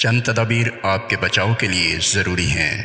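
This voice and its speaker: A man talks in a fairly low pitch. Noticeable noise sits in the background. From Pakistan. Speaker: voice over artist and audio editor. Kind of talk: real estate TV commercial read. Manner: energetic.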